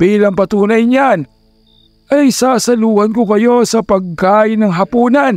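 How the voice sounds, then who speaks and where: Faint music plays behind a man with a high pitch and fairly even intonation. He talks at a fairly slow pace, and the sound is dry and close with no echo. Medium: read story. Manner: calm, dignified, reassuring.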